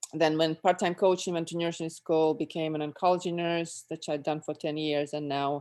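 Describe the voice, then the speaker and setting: On a very clean recording with a silent background, a woman with a very deep, low pitch speaks in a flat monotone at a moderate pace with hardly any pauses. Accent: Russian. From Russia. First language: Russian. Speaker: former athlete. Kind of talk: casual chat.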